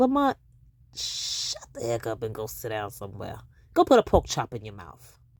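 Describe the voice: Very wide pitch swings at a moderate pace. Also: woman, extremely low pitch for a woman.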